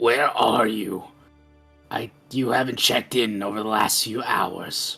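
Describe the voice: Putting on a raspy character voice, a man talks at a fairly slow pace over faint music in the background. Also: medium pitch for a man.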